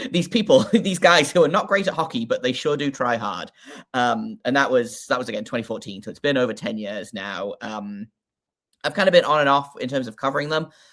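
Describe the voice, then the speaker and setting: In a very clean recording with a silent background, a man with a British accent speaks fairly quickly at a fairly high pitch, his voice making very wide pitch swings. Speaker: hockey podcaster. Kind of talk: casual chat. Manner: halting, many fillers.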